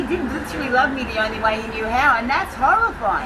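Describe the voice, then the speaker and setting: A woman with a strong Australian accent uses a raised, projected, high-pitched voice. Her intonation is lively over noticeable background noise. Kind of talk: interview answer. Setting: outdoors.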